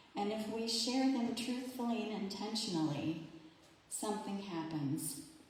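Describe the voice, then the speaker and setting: Someone with an American accent speaks at a fairly slow pace with lively intonation, over audible room echo and noticeable background noise. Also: woman. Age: 60s. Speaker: minister. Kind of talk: sermon. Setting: church service, livestreamed.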